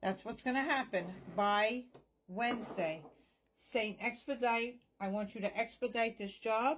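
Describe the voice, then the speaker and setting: A woman speaks with fairly high pitch and ordinary pitch variation. Her pace is fairly slow, with long, frequent pauses. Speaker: psychic medium. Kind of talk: spell tutorial with prayer. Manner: whispering parts.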